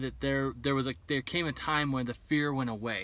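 A man is speaking. His tone is bright and sharp, and the sound is dry with no echo. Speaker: vlogger planning bus life. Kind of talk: casual vlog chat. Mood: reflective, candid about fears. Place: car.

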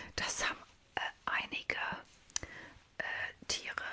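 At a moderate pace, a woman talks in a whisper. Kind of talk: role-play vet consultation, soft ASMR-style talk. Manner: soft, close-mic ASMR speaking. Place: home room. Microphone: studio mic.

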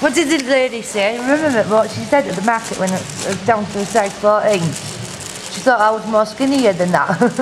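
A woman speaks over noticeable background noise. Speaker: vlogger. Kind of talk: casual vlog chat. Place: cafe. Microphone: phone near.

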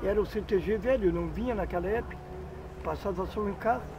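The speaker talks at a fairly quick pace with fairly even intonation over noticeable background noise. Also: man. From Candiota, Rio Grande do Sul, Brazil. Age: 50s. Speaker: local popular figure interviewed. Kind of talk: interview answer. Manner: rambling storytelling. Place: open country. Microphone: camera far.

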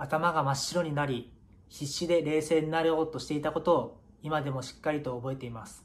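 A man talks at a fairly quick pace, his pitch fairly high. His voice is somewhat breathy, with fairly even intonation. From Japan, Miyagi (Iwanuma); Japan. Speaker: professional footballer. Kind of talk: prepared video message. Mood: earnest, solemn remembrance. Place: home room. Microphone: phone near.

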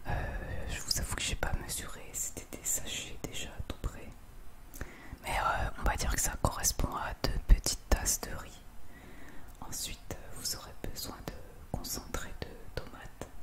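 A woman whispers at a fairly slow pace, stopping for long, frequent pauses. Her loudness swings widely. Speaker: home cook. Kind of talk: ASMR cooking tutorial. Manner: whispered, soft-spoken. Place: kitchen.

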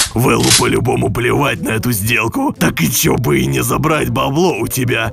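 Clear background noise sits behind this recording. A man talks at a moderate pace with a medium pitch. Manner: cocky, threatening.

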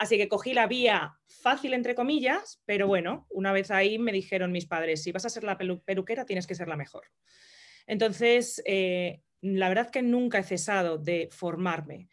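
A woman's medium-pitched voice at a moderate pace, with ordinary pitch variation over a quiet background. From Madrid, Spain; Spain. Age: 30s. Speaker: entrepreneur and hairdresser; interview guest. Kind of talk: interview. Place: home room. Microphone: video call.

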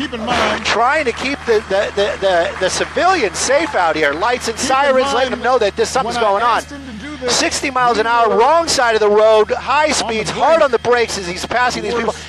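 Noticeable background noise sits behind a man with an extremely high pitch. He speaks at a moderate pace with ordinary pitch variation. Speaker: news helicopter reporter, live commentator. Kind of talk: live commentary on a police chase. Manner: casual, conversational, matter-of-fact.

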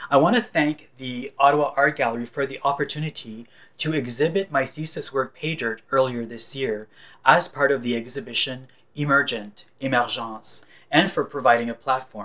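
Here a man talks at a moderate pace in a fairly high pitch. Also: ordinary pitch variation. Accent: Franco-Ontarian. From northern Ontario, Canada (francophone community near Sudbury). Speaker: visual artist. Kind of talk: scripted narration. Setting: recorded at home or studio. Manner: formal.

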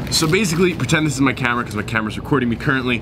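Over noticeable background noise, a man talks at a very fast pace. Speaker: vlogger. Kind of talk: casual vlog chat. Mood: frustrated, incredulous storytelling. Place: station.

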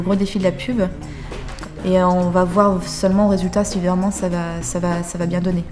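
A woman speaks at a medium pitch in a monotone, flat intonation. Music plays in the background. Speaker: young film director. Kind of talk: casual interview answer explaining project.

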